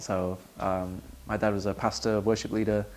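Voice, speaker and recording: Talking at a moderate pace, a man uses a fairly low pitch with ordinary variation. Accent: Manchester. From Manchester, England. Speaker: worship songwriter. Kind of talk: interview.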